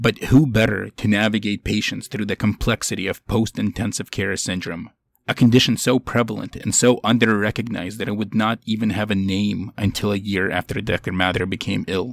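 A man with a plain, everyday voice, fairly low in pitch, at a fairly quick pace with hardly any pauses and fairly even intonation, on a very clean recording with a silent background. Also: dry, close sound with no echo. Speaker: ICU doctor and podcast host. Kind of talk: interview host introduction and narration.

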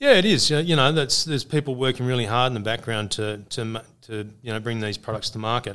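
A man with a bright, sharp tone talks at a very fast pace with hardly any pauses, recorded very cleanly against a silent background. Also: medium pitch for a man, ordinary pitch variation. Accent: Australian. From Australia, northern New South Wales. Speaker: organic farming business manager. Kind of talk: casual interview. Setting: conference venue.

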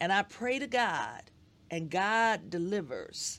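A woman with an American accent at medium pitch, very slow pace and lively intonation, on a very clean recording with a silent background. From Detroit, Michigan. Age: 60s. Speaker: educator and school board member. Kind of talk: interview.

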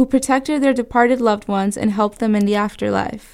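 A woman has an unremarkable speaking voice, fairly high with ordinary pitch variation. The recording is very clean, the background silent. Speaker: student news reporter. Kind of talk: radio newscast report, scripted news reading. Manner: measured, clear, formal news-anchor delivery.

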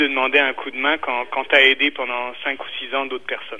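With noticeable background noise behind him, a man talks at a medium pitch and a moderate pace. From France (Brittany). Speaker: entrepreneur. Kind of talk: radio interview. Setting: phone call. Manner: halting, many repetitions.

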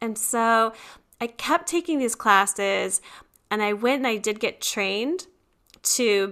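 Speaking at a fairly slow pace, a woman with an American accent has a bright, sharp, animated tone and fairly high pitch, captured on a very clean recording with a silent background. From US, small town. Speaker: former lawyer turned wellbeing coach. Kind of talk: interview.

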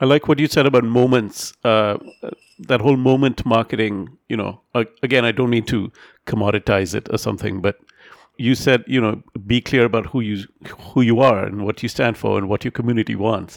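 Speaking at a fairly quick pace, a man uses a normal speaking voice of medium pitch with fairly even intonation, the sound dry and close with no echo on a very clean recording with a silent background. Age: middle-aged. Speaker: podcast host. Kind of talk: interview.

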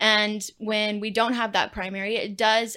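On a very clean recording with a silent background, a woman with an American accent speaks in a bright, sharp tone at a fairly high pitch. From central Texas (Gatesville, near Waco). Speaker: aquatics specialist. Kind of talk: casual chat.

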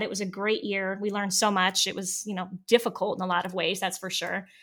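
A woman with an American accent talks at a fairly quick pace in a medium pitch. It is an ordinary speaking voice. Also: big swings in loudness. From US Midwest, Northeast Ohio. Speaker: former teacher. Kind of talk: interview.

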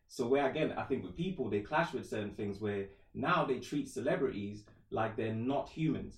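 This man's voice is somewhat breathy, with lively intonation. He talks at a moderate pace and medium pitch. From Trinidad, moved to England at 11. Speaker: musician and rapper. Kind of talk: casual chat.

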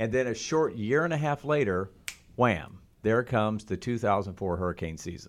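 Talking at a moderate speed, he speaks in an American accent. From Oklahoma. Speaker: TV meteorologist. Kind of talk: interview. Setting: studio.

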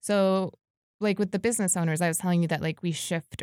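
A woman with a New York accent, fairly low in pitch and fairly even in intonation, in a very clean recording with a silent background and a dry, close sound with no echo. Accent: American, New York area. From New York, US (Westchester). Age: 20s. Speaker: activist. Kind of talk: casual interview.

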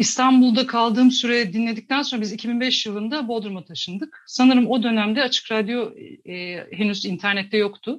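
Fairly quick and somewhat breathy, a woman speaks at a fairly high pitch with ordinary pitch variation. The recording is very clean, with a silent background. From Tokat, Turkey. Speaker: graphic designer and climate activist. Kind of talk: radio interview. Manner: hesitant, many fillers.

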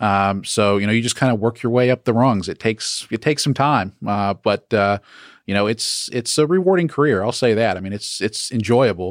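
Recorded very cleanly against a silent background, a man speaks at a fairly quick pace, at medium pitch with ordinary pitch variation. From US South, Atlanta area, Georgia. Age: 30s. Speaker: property management company CEO, former pilot. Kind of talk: interview. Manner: hesitant, many fillers.

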